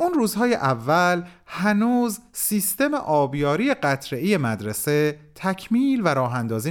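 A man with a fairly high pitch speaks with very wide pitch swings in a very clean recording with a silent background. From Iran. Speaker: writer and narrator. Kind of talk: scripted narration (letter read aloud).

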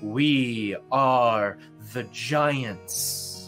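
A man speaks at a medium pitch in a put-on character voice, with music playing in the background. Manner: noble, royal, commanding.

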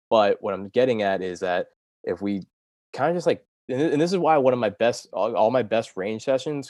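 A man with an American accent speaks in a normal speaking voice at a moderate pace, his intonation lively. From US Mid-Atlantic, Delaware. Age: 20s. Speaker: podcast intern, amateur golfer. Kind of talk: casual interview chat.

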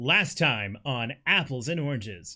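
Using a put-on character voice, a man speaks at medium pitch and a fairly slow pace. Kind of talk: announcer voice.

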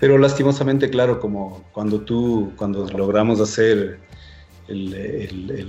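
A man's fairly low voice with fairly even intonation, music in the background. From Ecuador. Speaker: drummer and festival organizer. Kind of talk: casual chat.

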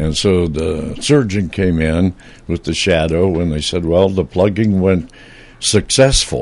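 At a fairly slow pace, a man talks with a very deep, low pitch and ordinary pitch variation. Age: 80s. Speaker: retired radio broadcaster, station founder. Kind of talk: casual chat. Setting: studio. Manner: halting.

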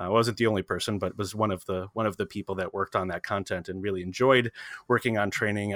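In a very clean recording with a silent background and a dry, close sound with no echo, a man with fairly low pitch talks at a very fast pace with fairly even intonation. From US Midwest, Chicago. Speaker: interface designer. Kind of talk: interview. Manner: halting, many fillers.

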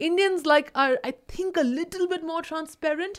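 An animated tone from a woman on a very clean recording with a silent background. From India. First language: Indian language (mother tongue other than English). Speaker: podcast co-host. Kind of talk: casual chat.

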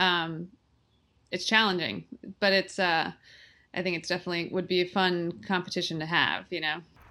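A woman with a bright, sharp tone and vocal fry speaks in a fairly low pitch at a moderate pace with long, frequent pauses, on a very clean recording with a silent background. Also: fairly even intonation. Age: 30s. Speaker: ultra runner and running coach. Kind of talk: casual interview.

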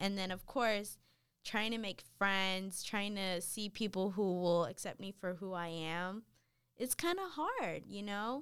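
An ordinary speaking voice from a woman, medium in pitch, with ordinary pitch variation and a fairly slow pace. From North Carolina, US (Dominican parents). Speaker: college student. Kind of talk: casual interview chat.

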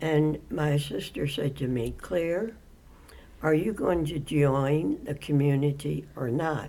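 A woman speaks at a very slow pace with a very deep, low pitch. Vocal fry runs through her voice. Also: ordinary pitch variation. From Baltimore, US. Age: 80s+. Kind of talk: interview.

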